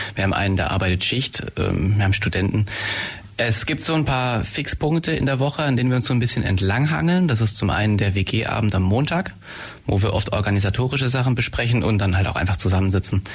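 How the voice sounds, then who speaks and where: Over noticeable background noise, the speaker talks at a very fast pace with lively intonation and very even loudness. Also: man, fairly low pitch for a man. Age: 20s. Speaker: medical student, shared-house resident. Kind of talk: radio interview. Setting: radio studio.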